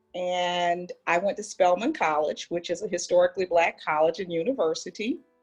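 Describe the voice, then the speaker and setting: With music playing in the background, a woman in an American accent speaks at a fairly quick pace with hardly any pauses, her fairly low voice showing ordinary pitch variation. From US South, Atlanta. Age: 60s. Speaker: school administrator. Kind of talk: interview storytelling.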